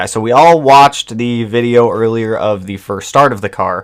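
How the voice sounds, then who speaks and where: In a very clean recording with a silent background, a man with an ordinary speaking voice talks at a medium pitch and a moderate pace. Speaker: live streamer working on a car. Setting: live stream with new microphone.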